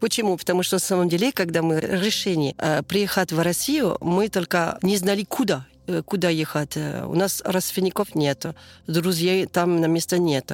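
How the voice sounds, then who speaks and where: With a French accent, a woman speaks at a fairly low pitch and moderate pace with ordinary pitch variation and very even loudness, in a dry, close sound with no echo. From southern France. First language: French (speaking Russian). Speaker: French immigrant mother. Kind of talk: interview. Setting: outdoors near yurt. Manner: halting.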